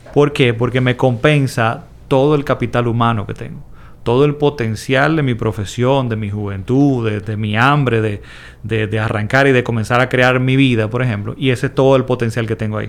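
The delivery is a normal speaking voice at a moderate pace with fairly even intonation. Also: man, medium pitch for a man. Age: 40s. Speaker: investment educator. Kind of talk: interview.

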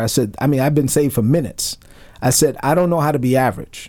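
Speaking with a New York accent, a man has a medium pitch and ordinary pitch variation. His pace is fairly quick. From Brooklyn, New York. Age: 40s. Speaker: retired army officer and minister. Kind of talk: radio interview.

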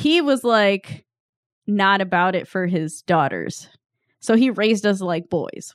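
In a very clean recording against a silent background, a woman with a normal speaking voice at medium pitch talks at a fairly slow pace with lively intonation. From Sicilian-American family. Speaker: podcast co-host. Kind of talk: casual chat.

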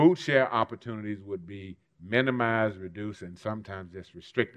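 A man's fairly low voice, an ordinary speaking voice, with an American accent at a moderate pace. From US South, Mississippi. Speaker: civil rights leader. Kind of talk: keynote speech.

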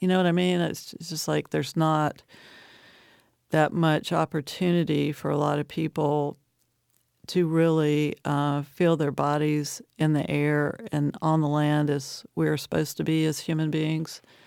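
In a very clean recording with a silent background, a woman with an American accent speaks at a fairly slow pace in a very deep, low, monotone, flat voice. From US South, Appalachian Virginia. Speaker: poet and professor. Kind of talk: interview. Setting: studio.

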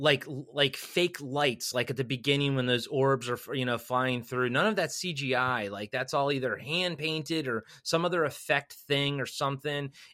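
A man with a fairly high, bright, sharp voice speaks at a moderate pace. He leaves hardly any pauses in a very clean recording with a silent background. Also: ordinary pitch variation. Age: 40s. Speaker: podcast guest. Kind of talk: casual chat. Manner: animated.

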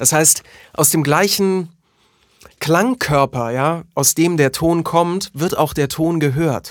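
A man talks at a very slow pace with very even loudness and ordinary pitch variation. The recording is very clean, with a silent background. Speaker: voice artist and podcast co-host. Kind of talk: casual chat. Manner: animated.

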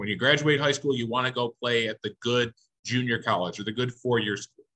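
Bright, sharp tone from a man with an American accent, medium in pitch, in a dry, close sound with no echo. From western New York (Niagara County). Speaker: baseball umpire. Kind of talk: casual interview chat.

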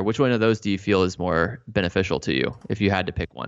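Talking at a very fast pace, a man with a fairly low pitch and ordinary pitch variation speaks with an American accent. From Texas, Dallas-Fort Worth. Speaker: physical therapy clinician and educator. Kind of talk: interview conversation.

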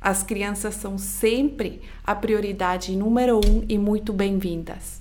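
Very slow speech with fairly even intonation and audible room echo. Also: woman, medium pitch for a woman. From Switzerland. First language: not Portuguese (Swiss-born) (speaking Portuguese). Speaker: podcast host, personal growth coach. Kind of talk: motivational solo podcast talk.

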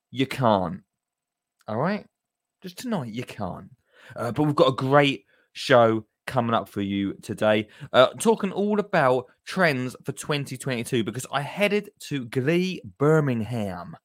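The delivery is animated, with very wide pitch swings. The pace is fairly slow. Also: man, medium pitch for a man, very clean recording, silent background. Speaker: podcast host. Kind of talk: casual show intro.

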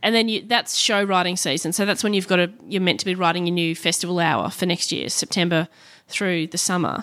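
With an Australian accent, a woman speaks fairly quickly at a fairly low pitch and with fairly even intonation. The recording is very clean, the background silent. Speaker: comedian and TV host. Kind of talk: casual chat.

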